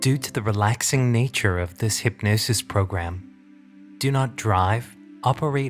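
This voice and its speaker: Music plays behind a man whose voice sits at a fairly low pitch. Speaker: hypnotherapist.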